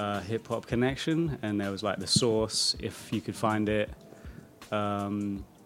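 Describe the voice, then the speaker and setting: A man with a British accent, relaxed in tone, at a fairly slow pace, his pitch fairly low with ordinary pitch variation. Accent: British accent, often mistaken for Australian. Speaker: music producer. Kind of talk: interview. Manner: casual, relaxed.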